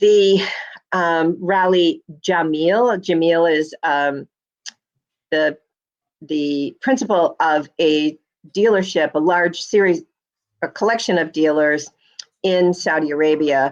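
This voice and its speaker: A woman at a fairly low pitch, a very slow pace with long, frequent pauses, and ordinary pitch variation. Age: 70s. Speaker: automotive journalist. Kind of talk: podcast interview. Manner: hesitant, many fillers.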